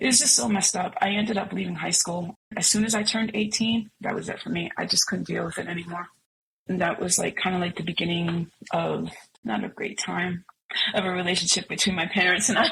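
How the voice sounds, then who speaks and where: A woman at a fairly quick pace, with an unremarkable speaking voice. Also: medium pitch for a woman, ordinary pitch variation. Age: 50s. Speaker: singer and music producer. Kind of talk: testimony.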